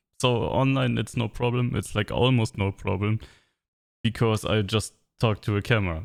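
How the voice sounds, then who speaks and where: With a German accent, a man speaks at a moderate pace in a fairly low pitch with ordinary pitch variation. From Germany. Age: 30s. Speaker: vlogger. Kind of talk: personal monologue to camera. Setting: alone with camera. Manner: halting.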